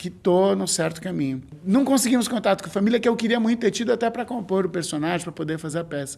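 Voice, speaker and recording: Pitched high, a man's voice carries lively intonation. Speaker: clown and stage actor. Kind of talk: documentary interview. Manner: halting, with many fillers.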